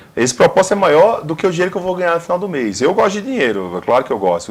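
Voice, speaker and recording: In a northeastern Brazilian accent, a man talks with very wide pitch swings. Noticeable background noise runs under his voice. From Northeast Brazil. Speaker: career consultant and motivational speaker. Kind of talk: TV interview.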